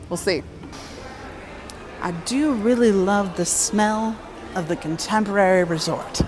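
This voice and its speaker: Over music in the background and audible room echo, a woman with a medium pitch talks at a fairly slow pace in an animated tone, using ordinary pitch variation and long, frequent pauses. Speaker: Disney vlogger. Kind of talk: vlog with history narration.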